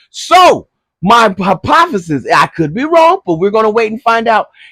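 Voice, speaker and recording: In a dry, close sound with no echo, a man with a high pitch speaks at a moderate pace in an animated tone, with very wide pitch swings. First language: not English. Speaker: YouTube commentator on TV series. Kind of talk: casual solo review.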